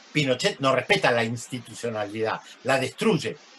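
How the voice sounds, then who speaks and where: Moderate-paced male speech amid noticeable background noise. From Argentina. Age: 60s. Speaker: journalist and sociologist. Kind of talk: lecture. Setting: video call.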